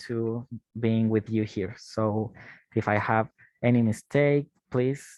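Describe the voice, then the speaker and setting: Speaking with a Spanish accent, a man keeps a fairly slow pace. His pitch varies in an ordinary way. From Chile. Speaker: university teaching assistant. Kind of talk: online class.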